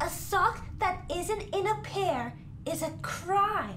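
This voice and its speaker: A cartoonish character voice speaks at a very slow pace over loud background noise. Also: man. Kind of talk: comic overacting. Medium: puppet show. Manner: grandiose, melodramatic, earnest.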